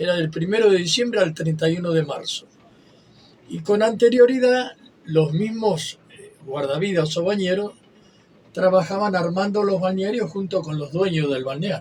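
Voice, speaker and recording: A man speaks at a moderate pace with a high pitch and ordinary pitch variation. His loudness swings widely from moment to moment. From Argentina, western Buenos Aires area. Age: 80s+. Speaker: retired lifeguard. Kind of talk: interview. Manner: halting.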